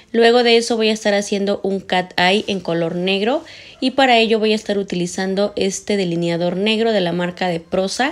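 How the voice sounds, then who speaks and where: The pace is moderate, and the pitch varies in an ordinary way. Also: woman, medium pitch for a woman. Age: 30s. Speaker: beauty vlogger. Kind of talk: makeup tutorial voiceover. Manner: warm, chatty. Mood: calm, friendly.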